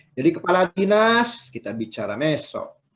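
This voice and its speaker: A man speaks in a Sundanese accent. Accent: Sundanese accent slips out. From West Java (Sundanese). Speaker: university lecturer. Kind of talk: lecture. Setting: video call. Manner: conversational, repetitive fillers.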